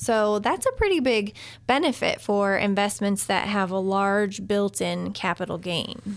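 A woman's medium-pitched voice, a plain, everyday voice, at a fairly slow pace. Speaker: radio co-host and financial planner. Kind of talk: call-in radio show. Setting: radio studio.

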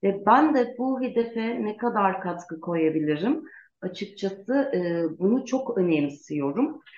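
Speaking at a very slow pace, a woman at medium pitch makes very wide pitch swings. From Turkey, Gaziantep. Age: 40s. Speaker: lawyer and parliamentary candidate. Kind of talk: interview.

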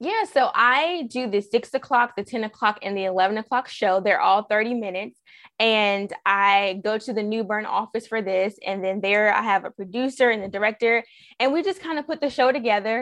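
A woman's ordinary speaking voice, fairly high in pitch, with an American accent, ordinary pitch variation and a moderate pace against a quiet background. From US South. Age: 30s. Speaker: TV news reporter and weekend anchor. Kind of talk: interview.

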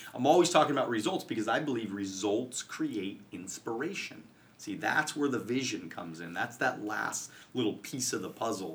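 Man with lively intonation and an animated tone. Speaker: financial services coach and podcaster. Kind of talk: casual interview. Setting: studio.

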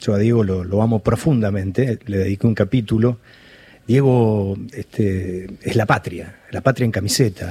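A man speaks at a fairly slow pace in a fairly low, somewhat breathy voice with a dark, mellow tone. His intonation is fairly even. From Argentina, Balcarce (Buenos Aires province). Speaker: writer and journalist. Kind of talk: interview. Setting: studio. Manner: halting, many repetitions.

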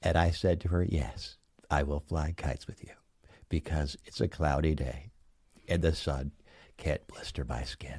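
A man with a very deep, low voice and vocal fry talks at a moderate pace with fairly even intonation, leaving long, frequent pauses. The recording is very clean, with a silent background. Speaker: library caller character.

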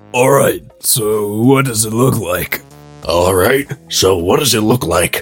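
Music plays behind a man doing a raspy, put-on character voice. He speaks fairly slowly at medium pitch with ordinary pitch variation.

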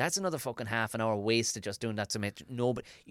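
Speaking very fast in an Irish accent, a man with a medium pitch is heard in a dry, close recording with no echo, very clean and with a silent background. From Ireland. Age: 40s. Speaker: stand-up comedian and podcast host. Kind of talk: casual chat.

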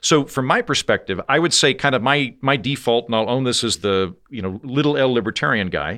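A man with an American accent, vocal fry, a bright, sharp tone and lively intonation at a fairly quick pace, on a very clean recording with a silent background. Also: medium pitch for a man, hardly any pauses. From Oklahoma. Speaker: political satirist and podcast host. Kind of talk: interview conversation.

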